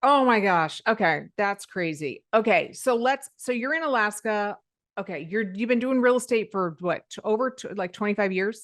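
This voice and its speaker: The speaker has a plain, everyday voice. The delivery is at a moderate pace with lively intonation. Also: woman, fairly high pitch for a woman. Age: 50s. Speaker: podcast host. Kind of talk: casual chat.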